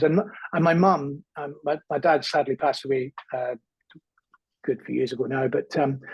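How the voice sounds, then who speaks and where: A man speaks at a fairly high pitch with fairly even intonation. His voice is somewhat breathy. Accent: Scottish. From Scotland, small town. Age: 50s. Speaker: comedian. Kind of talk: interview, personal life story. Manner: hesitant, many fillers and repetitions.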